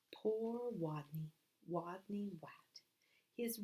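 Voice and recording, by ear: The voice is reading aloud. It is reading aloud in a natural voice.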